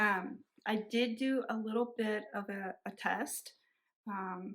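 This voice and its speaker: Her intonation is fairly even. The speaker is a woman. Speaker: cross stitch vlogger. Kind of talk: casual vlog chat. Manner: halting, many fillers and restarts.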